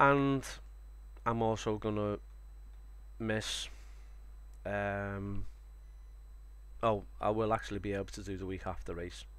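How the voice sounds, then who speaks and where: A man in a Liverpool accent talks at a fairly slow pace with long, frequent pauses. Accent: Scouse (Liverpool). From Liverpool, England. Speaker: sim racing streamer. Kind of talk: live stream commentary. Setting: live stream. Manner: casual, hesitant with fillers.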